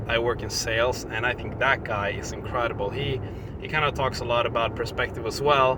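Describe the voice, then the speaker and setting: A man's medium-pitched voice in a Swedish accent at a fairly quick pace, with audible room echo and noticeable background noise. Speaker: vlogger. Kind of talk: casual vlog talk. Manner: halting, many fillers.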